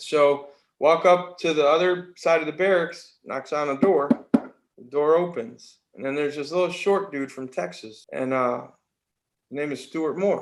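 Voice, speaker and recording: A man's normal speaking voice with an American accent, fairly high pitch, ordinary pitch variation and a fairly slow pace. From New York, Mohawk Valley upstate. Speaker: army veteran. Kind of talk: casual interview storytelling.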